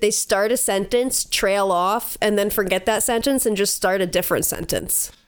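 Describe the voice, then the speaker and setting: A woman with a normal speaking voice, medium in pitch, at a moderate pace, with very even loudness and fairly even intonation. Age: 20s. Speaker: podcast co-host. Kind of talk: casual chat.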